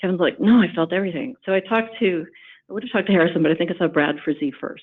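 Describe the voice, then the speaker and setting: A woman's fairly low-pitched voice. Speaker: former high school teacher, community program staff. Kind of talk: conference panel remarks. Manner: halting, many fillers.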